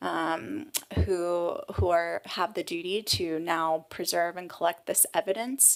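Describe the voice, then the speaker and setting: Very clean recording with a silent background of a woman, a plain, everyday voice, fairly low in pitch with ordinary pitch variation. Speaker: human rights lawyer. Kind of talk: tribunal testimony.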